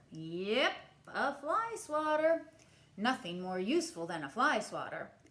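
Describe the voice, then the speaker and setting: Using a put-on character voice, a woman speaks at a high pitch with very wide pitch swings and a fairly slow pace. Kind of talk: bedtime story. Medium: read story.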